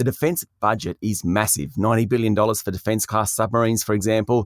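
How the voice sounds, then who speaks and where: In an Australian accent, a man talks at a fairly quick pace with a fairly low pitch and fairly even intonation, recorded with a dry, close sound and no echo. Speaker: news presenter. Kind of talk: news reading, scripted business headlines briefing. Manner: brisk, crisp and authoritative; formal, even-paced.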